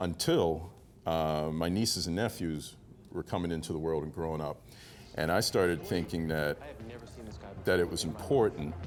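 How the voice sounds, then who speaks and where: A man with a Baltimore accent, very deep and low in pitch, with fairly even intonation and long, frequent pauses. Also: moderate pace. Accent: Baltimore, US Mid-Atlantic. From Baltimore, Maryland. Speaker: actor; former naval officer and police officer. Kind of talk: interview answer.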